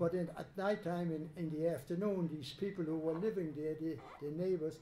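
A man speaks with a dark, mellow tone and a fairly high voice. His intonation is fairly even over light background noise. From Germany. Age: 80s+. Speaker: Holocaust survivor. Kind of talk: testimony talk to students. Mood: calm, reflective storytelling. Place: classroom. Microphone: handheld.

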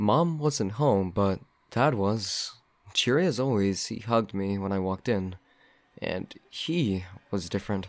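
A man with an ordinary speaking voice and fairly low pitch speaks at a fairly slow pace. The recording is very clean, with a silent background. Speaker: narrator reading a horror story. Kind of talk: creepypasta horror narration, first-person story read aloud.

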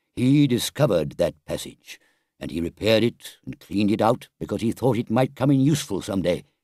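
Quiet surroundings behind plain reading aloud

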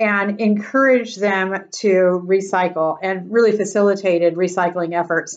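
A woman talking, with a quiet background. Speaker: presenter. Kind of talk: presentation talk. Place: home room. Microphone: webcam.

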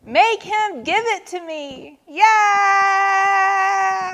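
A woman puts on a character voice at an extremely high pitch, shrill and whiny with a bright, sharp tone. She talks at a very slow pace with ordinary pitch variation.

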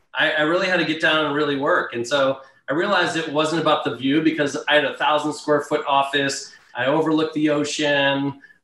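Amid audible room echo, a man speaks in a monotone, flat way at a moderate pace. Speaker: remote guest. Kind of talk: interview answer. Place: home room. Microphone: video call.

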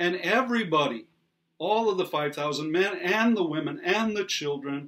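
At a moderate pace, a man talks in a high pitch with a fairly bright tone and lively intonation.

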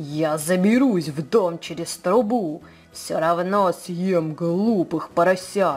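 Over music in the background, a growling put-on character voice at middle pitch moves at a fairly slow pace. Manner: growling, menacing.

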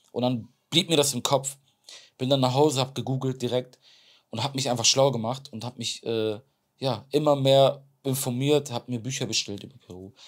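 Against a quiet background, a man talks at a fairly quick pace with fairly even intonation. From Germany, Bremen; Germany. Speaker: extreme athlete; podcast guest. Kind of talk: interview. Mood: earnest, reflective storytelling. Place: studio. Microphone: lapel.

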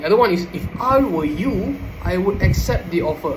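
A man speaks with a Malaysian accent. Noticeable background noise runs behind him. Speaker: student; presenter. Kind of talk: oral presentation; lecture. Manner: halting. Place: home room. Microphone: phone near.

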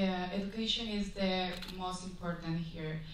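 A woman at a very slow pace, fairly even in intonation, with audible room echo and light background noise. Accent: Spanish. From Guatemala. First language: Spanish. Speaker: beauty pageant contestant. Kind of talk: pageant judging interview. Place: hall.

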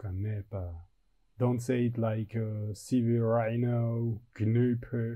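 The man's voice has a dark, mellow tone and is somewhat breathy. He talks at a very slow pace. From Switzerland. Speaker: graphic designer. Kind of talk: tutorial. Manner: casual, thinking aloud.

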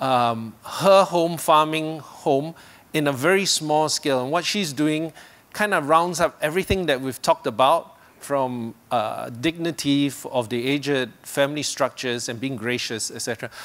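This is an unremarkable speaking voice, a man going at a moderate pace. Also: fairly high pitch for a man, ordinary pitch variation. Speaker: event host. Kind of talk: event host introduction. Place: stage. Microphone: handheld.

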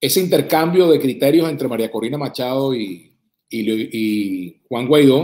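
Against a quiet background, the speaker uses a Venezuelan accent with lively intonation at a moderate pace. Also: man. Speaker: journalist and political commentator; journalist, political commentator. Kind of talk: political commentary monologue. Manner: formal. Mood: earnest, critical.

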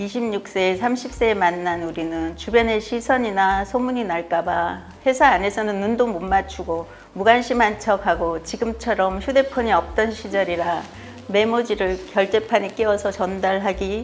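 A woman talks at a fairly slow pace with ordinary pitch variation over light background noise. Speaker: senior lifelong-learning student. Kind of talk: reading a personal letter aloud. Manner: warm, affectionate. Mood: warm, gentle, reflective. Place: studio. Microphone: lapel.

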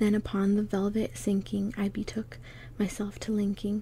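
A soft-spoken woman with a dark, mellow, somewhat breathy tone talks over light background noise. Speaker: poetry reader. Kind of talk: dramatic poetry reading. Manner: soft, hushed ASMR reading voice. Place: home room. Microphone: phone near.

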